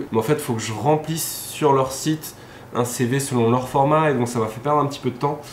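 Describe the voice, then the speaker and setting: Over noticeable background noise and audible room echo, a man speaks at a fairly quick pace at medium pitch with fairly even intonation. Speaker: vlogger. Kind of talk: casual vlog talk. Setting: outdoors evening walk.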